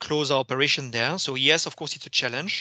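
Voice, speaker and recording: Bright and sharp in tone, a fairly high-pitched man speaks with a French accent against a quiet background. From France. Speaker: company finance executive. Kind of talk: investor Q&A. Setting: video call. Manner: hesitant, many fillers and repetitions.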